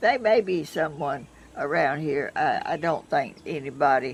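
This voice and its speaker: This woman has a Southern US accent. She talks at a fairly slow pace. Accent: Southern US (Georgia). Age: 80s+. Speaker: vlogger. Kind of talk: casual chat. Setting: outdoors. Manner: halting.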